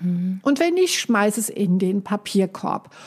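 The voice is somewhat breathy and the pace very slow. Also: woman. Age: 60s. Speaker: life coach. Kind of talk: casual chat.

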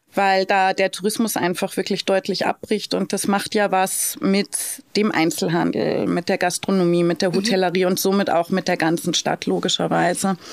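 Ordinary pitch variation and very even loudness mark this moderate-paced speech, recorded with a dry, close sound with no echo amid noticeable background noise. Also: woman, medium pitch for a woman. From Lower Bavaria, Germany (Straubing). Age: 40s. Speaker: hotel director and city blogger. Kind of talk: interview. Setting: recording venue.

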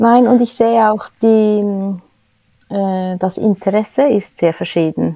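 Very slow and dark in tone, a woman's mellow, medium-pitched voice moves with fairly even intonation. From Switzerland. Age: 50s. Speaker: cleaning staff manager. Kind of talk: interview. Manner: hesitant, many filler sounds.

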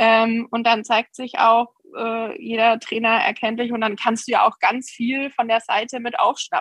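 Using a normal speaking voice, a woman speaks fairly slowly at a fairly high pitch with fairly even intonation. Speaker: horse breeder and riding trainer. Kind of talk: interview. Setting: video call.

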